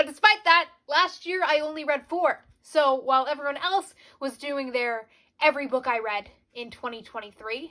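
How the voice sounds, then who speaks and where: A woman's high-pitched, raised, projected voice has a bright, sharp tone, lively intonation, a moderate pace and big swings in loudness. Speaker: book youtuber. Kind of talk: casual vlog chat.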